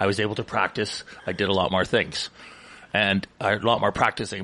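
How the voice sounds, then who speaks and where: Fairly quick speech in a Canadian accent amid noticeable background noise. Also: man. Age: 60s. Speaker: radio co-host. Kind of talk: casual chat.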